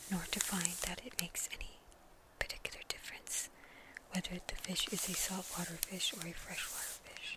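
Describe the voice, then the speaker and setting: Noticeable background noise behind a whisper delivered at a moderate pace. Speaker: ASMR creator. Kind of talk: bedtime story reading. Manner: whispered.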